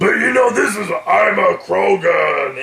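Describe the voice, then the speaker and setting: A man performs a put-on character voice at a moderate pace. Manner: gruff, exaggerated.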